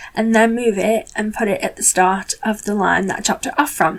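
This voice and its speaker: Talking at a fairly quick clip, the speaker is heard through noticeable background noise. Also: woman. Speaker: card-making crafter. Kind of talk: tutorial voiceover. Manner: animated.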